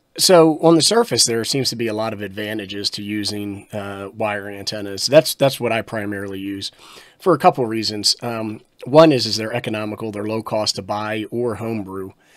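A man with a normal speaking voice, fairly low in pitch with ordinary pitch variation, at a fairly quick pace, with big swings in loudness, against a quiet background. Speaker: radio presenter. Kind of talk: tutorial.

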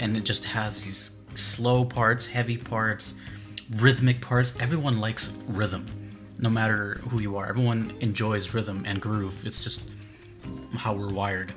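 Clear music sits in the background as a man speaks at a fairly low pitch and a fairly slow pace with fairly even intonation. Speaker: music reaction streamer. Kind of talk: commentary. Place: home room.

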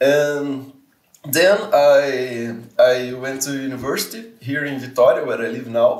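Here a man speaks with a Portuguese accent at a fairly high pitch. The background is quiet, though room echo is audible. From Brazil, Serra (Espírito Santo); Brazil. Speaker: community manager and researcher; interview guest. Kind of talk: casual interview. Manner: halting, frequent repetitions and fillers. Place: home room.

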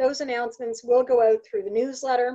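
A woman's high voice with a dark, mellow tone and ordinary pitch variation, over a quiet background. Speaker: remote work coach presenter. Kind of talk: presentation webinar talk. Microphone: webcam.

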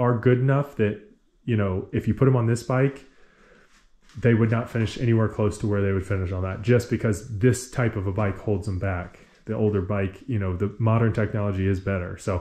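Against a quiet background, a man talks at a fairly quick pace in a fairly low, somewhat breathy voice with a dark, mellow tone. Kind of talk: casual vlog chat. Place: garage. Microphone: phone near.

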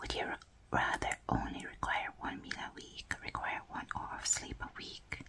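A woman whispers. She keeps a moderate pace. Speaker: ASMR creator. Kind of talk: ASMR game play talk to camera. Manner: whispered. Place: home room.

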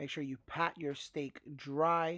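The background is quiet and the sound is dry, with no echo. A man speaks with fairly even intonation. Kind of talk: tutorial. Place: kitchen.

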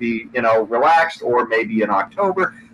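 Light background noise runs under the recording. A man speaks with lively intonation. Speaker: political podcast host. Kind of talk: panel discussion. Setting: video call. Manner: hesitant, many fillers. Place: home room. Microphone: video call.

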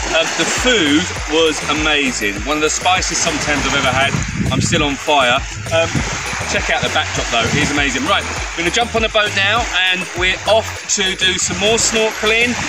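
A man at a moderate pace, in a dry sound with no echo, with music in the background. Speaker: tour company host. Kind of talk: casual vlog chat. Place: beach. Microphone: camera far.

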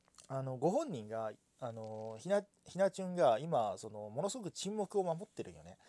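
A man with a dark, mellow tone speaks at a fairly high pitch and a moderate pace. His pitch swings very widely in a dry, close sound with no echo. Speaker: VTuber commentator streamer. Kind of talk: casual solo livestream talk. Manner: rambling, filler-heavy.

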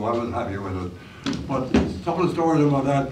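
Noticeable background noise sits behind the voice. A man speaks at a fairly high pitch. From St. John's, Newfoundland. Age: 80s+. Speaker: school alumnus. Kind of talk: reminiscing talk to a school audience. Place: stage. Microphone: camera far.

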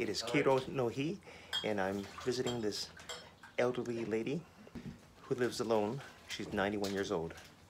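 Over noticeable background noise, a man speaks at a fairly quick pace with a medium pitch. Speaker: vlogger about life in Japan. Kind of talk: vlog narration. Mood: warm, gentle. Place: home room. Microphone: phone near.

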